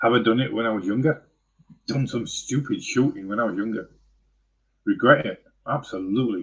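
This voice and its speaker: Pausing long and often, a somewhat breathy man speaks at a fairly quick pace and medium pitch with ordinary pitch variation. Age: 50s. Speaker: vlogger. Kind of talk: live stream monologue. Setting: live stream. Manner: halting.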